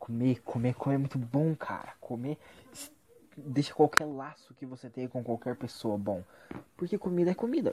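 A man speaks at a fairly quick pace with medium pitch, lively intonation and a somewhat breathy voice. The sound is dry and close, with no echo. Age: 20s. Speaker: vlogger. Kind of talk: casual monologue.

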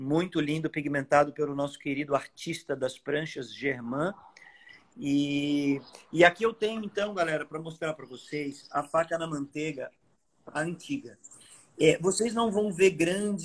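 A man with an ordinary speaking voice, fairly high pitch, ordinary pitch variation, big swings in loudness and a fairly slow pace. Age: 40s. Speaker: surfboard shaper. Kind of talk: live-stream product talk.

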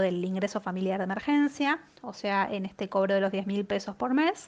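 A plain, everyday voice moves at a moderate pace with lively intonation against a quiet background. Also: woman. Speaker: economist. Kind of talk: economic commentary column. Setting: sent via WhatsApp.

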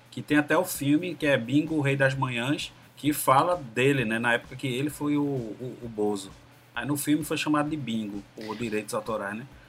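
Here is a plain, everyday voice from a man at medium pitch. He speaks at a moderate pace with ordinary pitch variation. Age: 40s. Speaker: podcast guest. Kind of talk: casual chat.

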